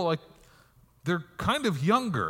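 Using a raised, projected voice with a bright, sharp tone, a man speaks at a moderate pace with lively intonation. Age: 40s. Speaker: pastor. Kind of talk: sermon. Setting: church.

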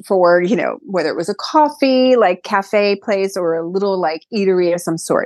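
With a New York accent, the speaker keeps a moderate pace. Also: woman. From US Northeast, Brooklyn, New York City. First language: Greek. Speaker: event planner and restaurant owner. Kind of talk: interview.

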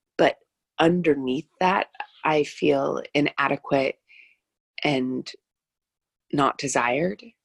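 With a warm, soothing tone and vocal fry, a woman at a very deep, low pitch speaks at a very slow pace with ordinary pitch variation and long, frequent pauses, in a dry, close sound with no echo. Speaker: wellness guide. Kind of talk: casual conversation about spirituality. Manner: warm, reflective, soothing.

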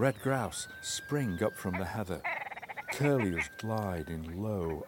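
Amid noticeable background noise, a man with a fairly low pitch speaks at a very slow pace with ordinary pitch variation. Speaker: nature sound recordist and narrator. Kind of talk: dramatic nature narration, first-person scripted, atmospheric. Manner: vivid, poetic, evocative.

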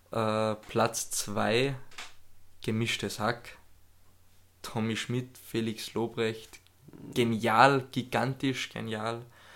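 A man speaks at a medium pitch in a monotone, flat intonation, at a very slow pace with long, frequent pauses. The recording is very clean, the background silent. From Austria. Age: 20s. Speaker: podcast co-host. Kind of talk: casual chat.

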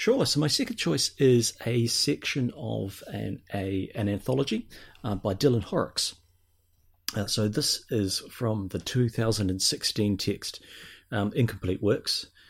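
On a very clean recording with a silent background, a man with a New Zealand accent speaks at a fairly slow pace in a somewhat breathy voice of medium pitch and ordinary pitch variation. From New Zealand, South Island. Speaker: podcaster, guest. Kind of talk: casual chat. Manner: halting, many fillers.

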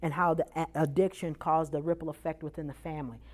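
The pace is very fast. Vocal fry runs through the voice. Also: woman. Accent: American. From Chicago, US Midwest. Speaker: prison reentry teacher. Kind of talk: presentation to audience. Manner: animated, preacherly.

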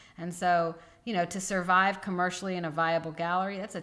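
A woman with an American accent talks at a very fast pace. Her pitch sits fairly low. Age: 40s. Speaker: gallery owner and artist. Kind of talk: interview.

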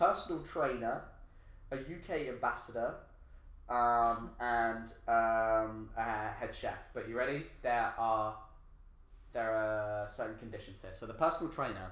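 A man's medium-pitched voice with long, frequent pauses, big swings in loudness, ordinary pitch variation and audible room echo. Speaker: podcast host. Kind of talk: casual chat.

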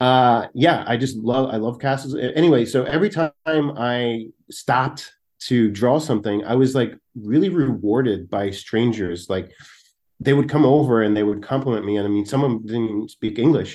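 With an American accent and an ordinary speaking voice, a man talks at a moderate pace and medium pitch with ordinary pitch variation against a quiet background. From South Jersey, Philadelphia suburbs. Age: 40s. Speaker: comedian and artist. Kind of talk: casual chat.

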